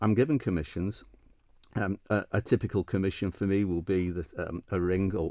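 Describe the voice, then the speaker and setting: Over a silent background in a very clean recording, a man speaks at a moderate pace with a very deep, low pitch and a Manchester accent. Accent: Mancunian northern English. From Manchester, northern England. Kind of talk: interview chat. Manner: halting, hesitant with repeats.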